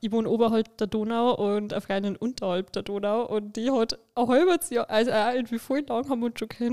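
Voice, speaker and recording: The voice has a dark, mellow tone, ordinary pitch variation and a fairly quick pace, with a Lower Bavarian accent. The very clean recording has a silent background and a dry, close sound with no echo. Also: woman. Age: 20s. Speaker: influencer and podcast co-host. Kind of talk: casual chat.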